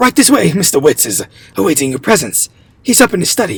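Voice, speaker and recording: A shaky, put-on character voice at middle pitch, very fast, with very wide pitch swings. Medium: read story. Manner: shaky, deferential.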